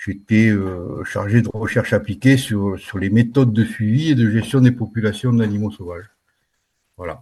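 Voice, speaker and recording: Over a quiet background, a man speaks at a moderate pace with a dark, mellow, somewhat breathy tone, fairly low pitch and ordinary pitch variation. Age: 60s. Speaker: retired wildlife manager. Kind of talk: casual interview. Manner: halting, with many hesitations.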